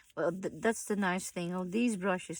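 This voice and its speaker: Ordinary pitch variation runs through a woman's speech. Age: 60s. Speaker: crafter. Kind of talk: tutorial. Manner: halting.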